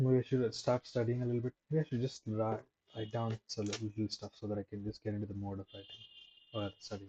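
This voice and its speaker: This man speaks at a medium pitch and a fairly quick pace, somewhat breathy and with monotone, flat intonation. The sound is dry and close, with no echo. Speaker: streamer doing a study livestream. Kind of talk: casual live-stream chat. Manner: halting.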